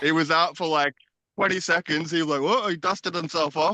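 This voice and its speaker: With an Australian accent, a man talks very fast at a fairly high pitch with ordinary pitch variation and a bright, sharp tone. The sound is dry and close, with no echo. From Queensland, Australia (Brisbane). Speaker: traveller. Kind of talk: casual chat. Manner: hesitant, many fillers.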